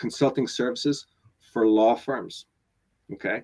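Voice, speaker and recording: A man with a slight Northern Irish accent, at a medium pitch and a moderate pace. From Northern Ireland. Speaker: business coach. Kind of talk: webinar interview. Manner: halting, many repetitions.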